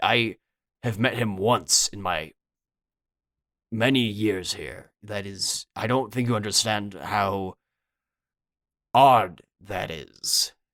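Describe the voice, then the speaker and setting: A man puts on a raspy character voice at a fairly low pitch with ordinary pitch variation. He talks very slowly with long, frequent pauses and big swings in loudness. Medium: actual play. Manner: casual, flustered.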